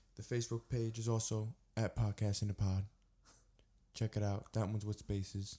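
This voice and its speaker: At a moderate pace, a man speaks in a fairly low pitch with a dark, mellow, somewhat breathy tone, monotone, flat intonation and very even loudness. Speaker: podcast host. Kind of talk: casual podcast chat.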